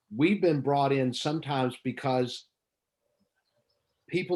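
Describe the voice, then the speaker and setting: A man's medium-pitched voice with ordinary pitch variation, at a moderate pace. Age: 50s. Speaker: missionary care worker. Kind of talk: video call chat. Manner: halting, many fillers and repeats.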